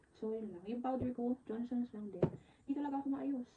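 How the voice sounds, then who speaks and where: A woman talks with ordinary pitch variation. Her voice is fairly high. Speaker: vlogger, virtual assistant. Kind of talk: casual vlog talk to camera.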